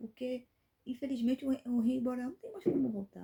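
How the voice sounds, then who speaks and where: Fairly quick and somewhat breathy, a woman speaks in a dark, mellow tone with ordinary pitch variation. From Brazil, Rio de Janeiro state (Angra dos Reis). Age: 30s. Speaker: YouTuber, commentary channel host. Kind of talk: opinion commentary vlog. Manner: indignant, emphatic with hesitations.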